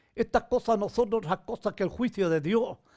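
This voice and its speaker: Recorded very cleanly against a silent background, a man speaks with lively intonation. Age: 80s+. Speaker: pastor. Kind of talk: sermon. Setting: livestream from home.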